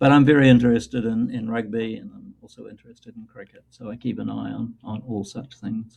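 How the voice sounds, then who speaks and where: A man with a New Zealand accent at a fairly quick pace, hardly any pauses, and big swings in loudness. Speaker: New Testament scholar. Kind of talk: interview. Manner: halting, many fillers.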